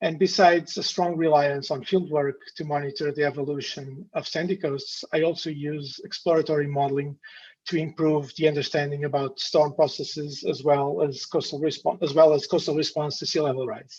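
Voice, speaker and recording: A man's fairly high, somewhat breathy voice with a Portuguese accent, at a fairly quick pace. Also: fairly even intonation. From northern Portugal. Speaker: university lecturer. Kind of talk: lecture. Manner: halting.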